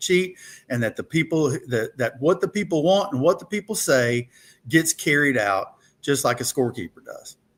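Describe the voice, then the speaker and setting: A man with an Alabama accent speaks at a moderate pace with ordinary pitch variation, on a very clean recording with a silent background. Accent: Southern US (Alabama). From US South, rural Alabama (Thomasville). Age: 60s. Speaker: political candidate, lawyer. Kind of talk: interview. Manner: casual storytelling.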